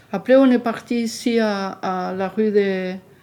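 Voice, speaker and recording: A dark, mellow tone carries speech whose intonation stays fairly level. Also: woman. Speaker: elderly resident interviewee. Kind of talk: testimony. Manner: halting.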